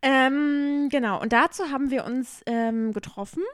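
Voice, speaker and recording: A woman speaks at high pitch with ordinary pitch variation. Her pace is very slow. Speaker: podcast co-host. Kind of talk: casual chat. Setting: at co-host's home.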